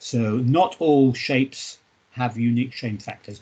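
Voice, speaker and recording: A man speaks at a fairly slow pace with ordinary pitch variation in an ordinary speaking voice. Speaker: university lecturer. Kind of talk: lecture.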